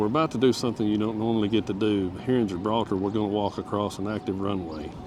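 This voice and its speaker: With an American accent, a man talks very fast in a fairly low pitch and fairly even intonation over noticeable background noise. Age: 50s. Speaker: retired travel vlogger. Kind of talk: casual travel vlog chat. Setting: outdoors.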